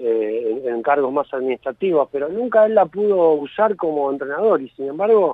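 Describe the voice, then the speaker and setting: He is a man with a plain, everyday voice and a fairly high pitch. His intonation is lively, and his pace is moderate. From Argentina, Villa Gesell (Buenos Aires province). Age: 40s. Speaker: author and sports journalist. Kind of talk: interview.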